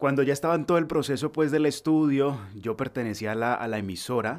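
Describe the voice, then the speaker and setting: This is a plain, everyday voice from a man talking at a fairly quick pace. The recording is very clean, with a silent background. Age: 20s. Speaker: voice-over artist. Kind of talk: interview. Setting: home recording studio.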